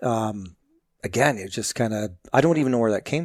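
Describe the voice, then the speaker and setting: A man with a slight Canadian accent talks at a moderate pace. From southwestern Ontario, Canada (London area). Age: 50s. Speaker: fire captain and magazine editor. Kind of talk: interview podcast.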